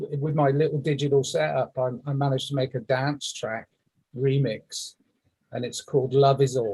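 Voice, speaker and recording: A man's dark, mellow, somewhat breathy voice, fairly high in pitch, at a moderate pace in a monotone, flat intonation. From England. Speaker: musician. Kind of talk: casual chat. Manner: halting.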